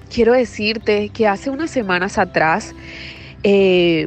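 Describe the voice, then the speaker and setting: Over background music, a woman speaks at a very slow pace. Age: 30s. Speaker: wellness podcaster. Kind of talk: personal monologue. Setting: outdoors.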